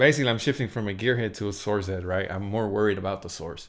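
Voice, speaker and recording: A man speaks with a fairly low pitch. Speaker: audio engineer. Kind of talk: tutorial. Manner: fast; casual.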